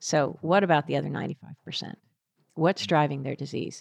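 Vocal fry runs through this fairly quick delivery in an American accent, with fairly even intonation and a dry, close sound with no echo. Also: woman. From US, Philadelphia area. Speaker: biotech executive and neuroscientist. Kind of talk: interview.

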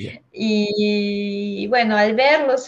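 A woman talks in a monotone, with flat intonation. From Peru, Huancayo. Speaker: geotechnical engineer. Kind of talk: interview.

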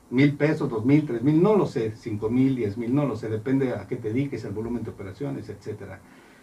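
Somewhat breathy, a man speaks with hardly any pauses and ordinary pitch variation. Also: medium pitch for a man, fairly quick pace. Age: 40s. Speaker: accountant. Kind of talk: radio interview. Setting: studio.

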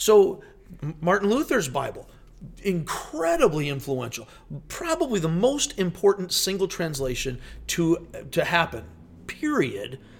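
Speaking at a fairly slow pace with long, frequent pauses, a man uses a high pitch, very wide pitch swings and an animated tone. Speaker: pastor. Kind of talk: casual chat.

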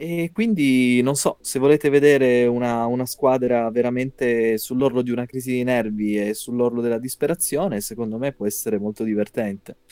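Dark and mellow in tone, a man speaks at a fairly quick pace. The sound is dry and close with no echo. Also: medium pitch for a man, hardly any pauses. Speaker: podcast host. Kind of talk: casual chat. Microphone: poorly recorded voice.

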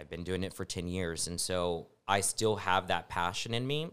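A man with an American accent speaks at a fairly slow pace, his very deep, low pitch showing ordinary variation. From West Texas. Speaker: TV journalist. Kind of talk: casual interview. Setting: studio.

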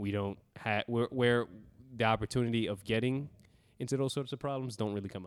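On a very clean recording with a silent background, a man with an American accent talks at a fairly quick pace with fairly even intonation. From US Northeast (Brooklyn, New York). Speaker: podcast co-host. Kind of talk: casual chat. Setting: recording while traveling in Mexico.

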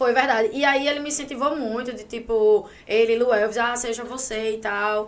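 Heard through noticeable background noise and audible room echo, a woman speaks at a moderate pace in a fairly high voice with fairly even intonation. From Paraíba, Brazil. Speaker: social media influencer. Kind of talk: casual chat.

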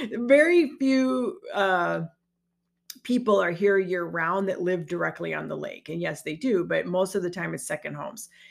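Speaking at a moderate pace, a woman is heard. The recording is very clean, with a silent background. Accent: American. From Chicagoland area, Illinois. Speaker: podcast host, network marketing business coach. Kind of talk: solo podcast monologue. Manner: conversational, with frequent fillers and restarts.

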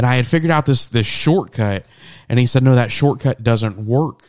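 A man of medium pitch with an American accent and an ordinary speaking voice talks at a moderate pace with ordinary pitch variation. The sound is dry and close with no echo, in a very clean recording with a silent background. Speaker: podcast host. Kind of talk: casual chat. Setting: home studio, late at night. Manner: casual, joking.

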